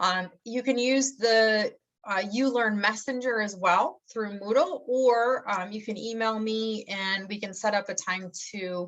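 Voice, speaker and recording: The speaker talks in a Michigan accent with ordinary pitch variation. The background is quiet. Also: woman. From Michigan, US Midwest. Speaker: college English instructor. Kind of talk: course introduction. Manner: casual, many fillers.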